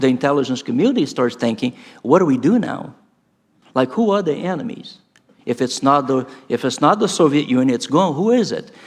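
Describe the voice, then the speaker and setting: A man speaks with a Brazilian Portuguese accent at a fairly high pitch and with lively intonation. His pace is moderate, broken by long, frequent pauses. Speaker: professor. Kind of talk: conference talk. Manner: animated.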